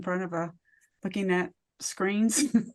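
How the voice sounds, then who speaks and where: Against a quiet background, a woman with an American accent talks at a moderate pace at medium pitch with ordinary pitch variation, in an unremarkable speaking voice. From US (military bases, army brat). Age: 50s. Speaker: author and wellness speaker. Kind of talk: interview.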